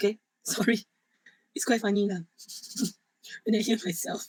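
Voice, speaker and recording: A woman speaks at a moderate pace in a fairly high pitch with ordinary variation. Her voice is somewhat breathy, and the sound is dry and close with no echo. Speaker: university lecturer. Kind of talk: online lecture. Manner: halting, repeats words.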